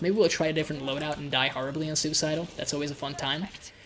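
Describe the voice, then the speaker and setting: Very fast-paced speech over noticeable background noise. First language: Hungarian. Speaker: gaming YouTuber. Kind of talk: gameplay commentary. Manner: casual, hesitant with repetitions.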